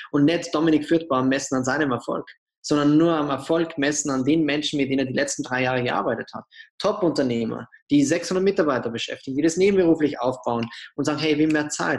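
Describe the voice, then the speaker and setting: Very fast and fairly high in pitch, a man talks with ordinary pitch variation. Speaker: entrepreneur and author. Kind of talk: interview. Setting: podcast.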